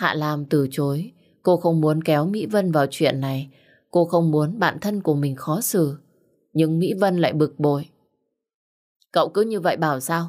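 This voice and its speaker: A woman speaks at a fairly slow pace in a very deep, low voice. Her pitch variation is ordinary, and the background is quiet. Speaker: audiobook narrator. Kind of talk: emotional story narration with dialogue. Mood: warm, deep, emotional. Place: home room. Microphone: studio mic.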